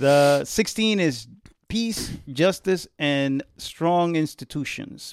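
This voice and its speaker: The man's voice sits at a fairly high pitch with ordinary pitch variation. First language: not English. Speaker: radio co-host. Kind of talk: casual chat.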